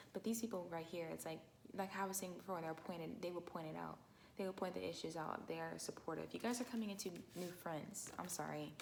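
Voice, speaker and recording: Very fast, a woman talks at a fairly low pitch with fairly even intonation. Room echo is audible. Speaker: tarot reader. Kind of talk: tarot reading. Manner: halting, many fillers.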